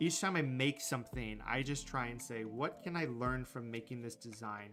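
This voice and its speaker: A man's fairly quick speech with ordinary pitch variation, faint music in the background. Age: 30s. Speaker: graphic designer and streamer; graphic designer streamer. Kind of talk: live stream tutorial chat. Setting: live stream. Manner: casual, halting with fillers. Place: home room.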